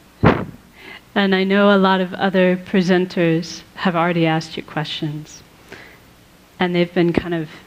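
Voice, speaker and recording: Over noticeable background noise, a woman speaks in a calm tone at a medium pitch, very slowly, with monotone, flat intonation. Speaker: Buddhist nun and meditation teacher. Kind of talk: live talk to an audience. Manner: calm, peaceful.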